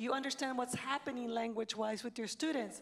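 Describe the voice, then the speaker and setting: A woman is speaking. She has a Spanish accent. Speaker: education panelist. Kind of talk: panel discussion.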